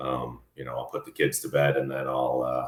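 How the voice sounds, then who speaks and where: Vocal fry runs through this man's speech, delivered in an American accent. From Colorado. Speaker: entrepreneur and engineer. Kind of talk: podcast interview. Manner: halting, many repeated words.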